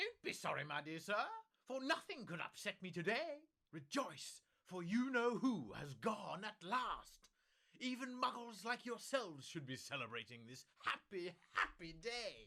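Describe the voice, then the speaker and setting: A man puts on a squeaky character voice. The pitch is high. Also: moderate pace. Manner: jubilant, delighted.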